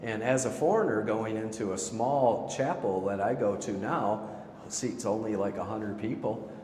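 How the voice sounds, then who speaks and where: A man with a fairly low pitch talks at a moderate pace with ordinary pitch variation, in a room with audible echo and noticeable background noise. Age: 60s. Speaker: golf teacher. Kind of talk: casual interview chat.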